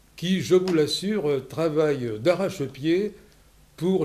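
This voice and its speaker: Speaking at a very slow pace, a man has a dark, mellow tone. His pitch is fairly high for a man. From Lot, southwest France. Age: 70s. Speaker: local election candidate, former deputy mayor. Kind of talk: self-introduction. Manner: formal.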